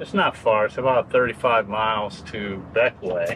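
A man's pitch varies in an ordinary way as loud background noise fills the clip. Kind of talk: casual vlog chat. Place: boat. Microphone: camera far.

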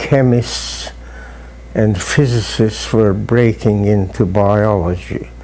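In a Hungarian accent, a man with a fairly low pitch speaks at a very slow pace with ordinary pitch variation. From Hungary. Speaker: professor emeritus, biologist. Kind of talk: oral history interview. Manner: halting, with fillers. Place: office. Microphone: lapel.

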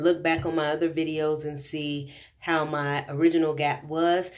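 A woman with a very deep, low pitch speaks against a quiet background. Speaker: vlogger. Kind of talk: casual vlog chat. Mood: happy, relieved. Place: home room. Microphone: phone near.

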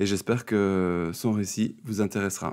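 A man speaks in a normal speaking voice. His pitch is fairly low, and his intonation fairly even. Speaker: speech therapist and interviewer. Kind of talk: interview.

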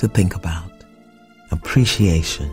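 Over music in the background, the speaker uses a calm tone. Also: woman. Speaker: spiritual coach. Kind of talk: guided spiritual affirmations. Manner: slow, calm.

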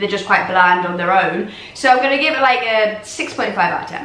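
Audible room echo around a woman, her pitch variation ordinary. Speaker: food reviewer. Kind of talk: casual vlog chat. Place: home room. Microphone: phone near.

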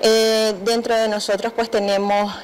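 A woman speaks at a very slow pace and a fairly high pitch. Light background noise can be heard. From Nicaragua. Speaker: crafts entrepreneur. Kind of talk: TV interview. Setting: TV studio. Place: studio. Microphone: handheld.

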